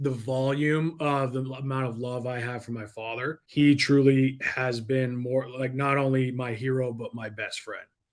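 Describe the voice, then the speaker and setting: In an American accent, a man speaks at a fairly slow pace and medium pitch with hardly any pauses, ordinary pitch variation and big swings in loudness. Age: young. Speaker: entrepreneur and sales coach. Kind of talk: podcast interview. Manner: animated.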